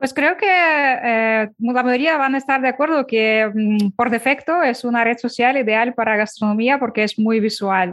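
A woman speaks in a high voice with a slight non-native accent. Her pace is fairly slow and her loudness very even. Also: ordinary pitch variation. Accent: slight foreign. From Ukraine. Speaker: Instagram consultant. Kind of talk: interview.

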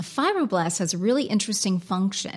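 In a very clean recording with a silent background, a somewhat breathy voice with an American accent shows ordinary pitch variation. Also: woman. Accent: American, noticeable. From United States. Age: 40s. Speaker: skincare and beauty trainer. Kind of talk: informative talk about products.

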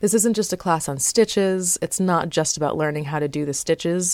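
A woman with a normal speaking voice, an American accent and ordinary pitch variation. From South Florida. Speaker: podcast host and textile artist. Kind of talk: casual solo podcast talk.

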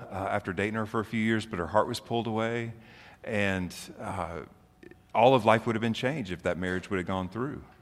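A man with an American accent and a normal speaking voice, medium in pitch, with fairly even intonation. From Oklahoma and Memphis, US South. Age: 40s. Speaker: pastor. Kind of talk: sermon.

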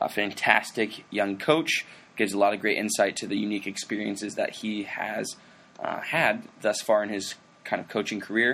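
A man with an unremarkable speaking voice speaks at a moderate pace in a fairly low pitch, his intonation fairly even. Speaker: podcast host. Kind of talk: casual interview chat.

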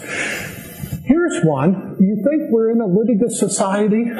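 A man speaks with audible room echo. Background noise is noticeable. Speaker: agricultural policy commentator. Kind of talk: conference speech. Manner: animated.

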